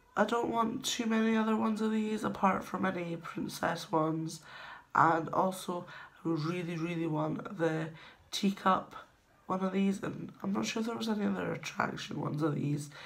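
A woman speaks at a moderate pace in a fairly low-pitched voice. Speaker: vlogger. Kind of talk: casual vlog chat. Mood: relaxed, enthusiastic. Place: home room. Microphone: phone near.

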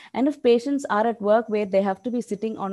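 A dark, mellow tone marks the voice of the woman speaking. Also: quiet background. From India. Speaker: diabetes nurse educator. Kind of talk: lecture. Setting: video call. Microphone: video call.

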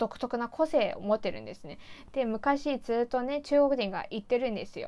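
A woman speaks at a moderate pace. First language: Mandarin Chinese (speaking Japanese). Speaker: YouTuber. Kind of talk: casual vlog monologue. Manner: chatty, laughing. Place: home room.

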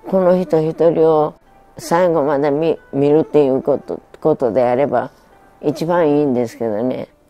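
A woman's voice, very deep and low in pitch, over faint music in the background. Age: 80s+. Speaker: midwife. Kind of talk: interview answer. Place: home room.

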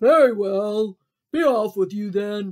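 Bellowing in a gruff, put-on character voice, a man speaks at a high pitch and a fairly slow pace. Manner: roaring, gruff.

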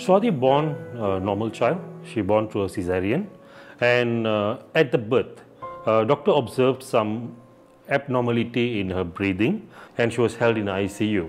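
At a moderate pace, a man speaks with faint music in the background. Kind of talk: interview answer. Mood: somber, reflective. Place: home room.

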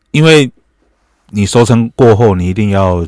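The background is quiet and the sound is dry with no echo. A man speaks at a moderate pace with ordinary pitch variation. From Taiwan. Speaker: chef; guest. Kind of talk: radio interview. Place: studio. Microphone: studio mic.

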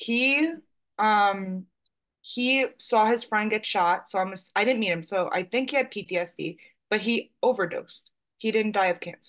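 Fairly high-pitched woman, fairly slow, with ordinary pitch variation and a quiet background. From New York, Staten Island; New York. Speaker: client. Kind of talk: psychic reading session. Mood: earnest, somewhat emotional. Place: home room. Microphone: webcam.

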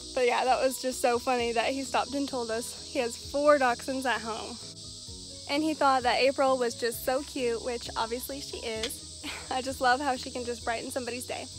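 At a moderate pace, the voice keeps a fairly even intonation, with a dry sound with no echo and faint music in the background. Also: woman, high pitch for a woman. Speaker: pet vlogger. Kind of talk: casual vlog chat. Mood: amused, cheerful. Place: open country. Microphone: phone near.

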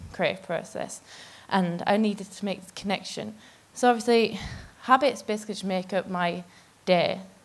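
Ordinary pitch variation from a woman speaking. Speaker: conference speaker. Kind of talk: talk to an audience. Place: stage. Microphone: handheld.

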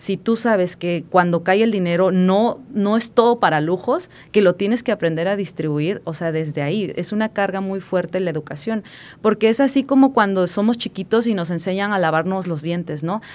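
Moderately paced, a woman speaks at a medium pitch with ordinary pitch variation. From Mexico, Puebla (small town). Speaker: financial advisor, entrepreneur. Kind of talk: casual interview chat. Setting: studio. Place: studio. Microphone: studio mic.

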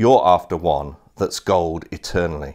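The surroundings are quiet. A man speaks fairly slowly. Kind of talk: sermon. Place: home room. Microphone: lapel.

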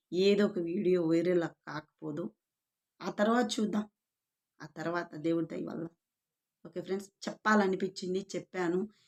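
Soft-spoken, a woman talks at a medium pitch with fairly even intonation. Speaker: YouTube vlogger. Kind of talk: casual monologue to camera.

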